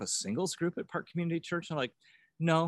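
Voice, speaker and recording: A man with a US Midwestern accent is heard in a very clean, dry, close recording with no echo and a silent background. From US Midwest, rural northwest Ohio. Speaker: banker. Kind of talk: casual interview testimony. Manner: halting, many fillers.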